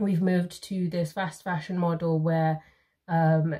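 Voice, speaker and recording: Against a quiet background, a woman speaks at a moderate pace and a fairly low pitch, her dark, mellow tone somewhat breathy and her intonation monotone and flat. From Zimbabwe. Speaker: YouTuber; co-host of a book chat. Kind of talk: casual chat. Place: home room.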